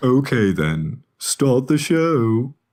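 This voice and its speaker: Using a put-on character voice, a man speaks at a medium pitch with very wide pitch swings. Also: very clean recording, silent background. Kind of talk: comic overacting. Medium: audio drama. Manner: grumpy, whiny.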